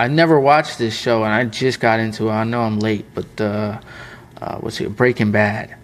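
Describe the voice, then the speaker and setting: With ordinary pitch variation, a man speaks at medium pitch and a moderate pace over noticeable background noise. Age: 20s. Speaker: print shop owner and YouTuber. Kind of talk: casual chat. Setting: in his print shop's production room.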